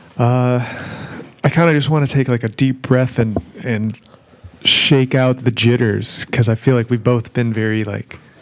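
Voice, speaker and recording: Pausing long and often, a man talks at a moderate pace with a medium pitch and fairly even intonation. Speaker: podcast host. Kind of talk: casual chat. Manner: low energy.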